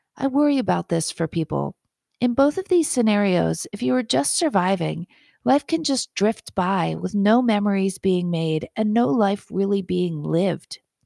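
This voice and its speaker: Her medium-pitched voice swinging very widely in pitch, a woman speaks at a fairly slow pace in a dry, close recording with no echo, very clean and with a silent background. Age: 50s. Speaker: physician and podcast host. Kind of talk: scripted monologue.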